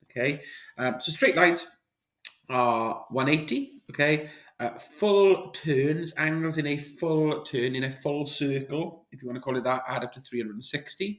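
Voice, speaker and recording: Using a normal speaking voice, a man with a fairly high pitch talks at a moderate pace with ordinary pitch variation and big swings in loudness. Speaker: maths teacher. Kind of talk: tutorial. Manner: casual, with fillers.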